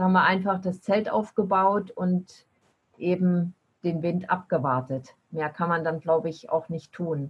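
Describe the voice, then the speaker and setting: The woman's voice is fairly low and somewhat breathy. She speaks at a fairly slow pace with ordinary pitch variation. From eastern Germany. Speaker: long-distance bicycle traveler. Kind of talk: podcast interview.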